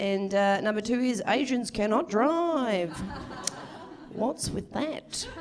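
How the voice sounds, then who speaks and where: A woman with a fairly high pitch speaks with lively intonation. Audible room echo and noticeable background noise surround her voice. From Victoria, Australia. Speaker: stand-up comedian. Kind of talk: stand-up. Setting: stage with audience.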